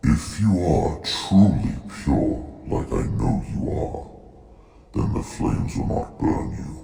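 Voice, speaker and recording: A man growls in a put-on character voice, very deep and low in pitch, at a fairly slow pace. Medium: audio drama. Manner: calm, authoritative.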